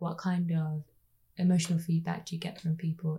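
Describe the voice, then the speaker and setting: A woman's fairly quick, somewhat breathy voice in a Birmingham accent, fairly low in pitch, with a dark, mellow tone and monotone, flat intonation. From Birmingham, England (Ladywood). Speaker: podcast interviewer. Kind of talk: interview.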